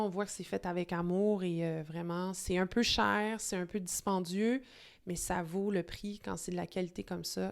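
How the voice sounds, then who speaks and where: A woman speaks at medium pitch with a Quebec accent. The recording is very clean, with a silent background. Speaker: wine video host. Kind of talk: casual vlog monologue. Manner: hesitant, many fillers; enthusiastic.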